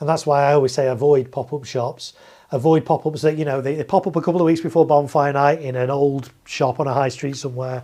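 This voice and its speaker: A man with a British accent talks at a very fast pace in a dark, mellow tone. His pitch is fairly high for a man and his intonation fairly even. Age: 40s. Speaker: fireworks display operator and streamer. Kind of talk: live stream chat reading viewer comments. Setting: home garage. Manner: casual, with many fillers.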